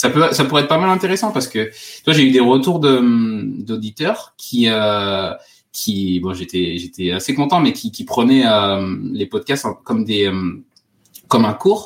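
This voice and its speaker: Long, frequent pauses from a man at a medium pitch, with very wide pitch swings and a fairly slow pace. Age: 30s. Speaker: safety engineer and podcaster. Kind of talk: interview. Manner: halting.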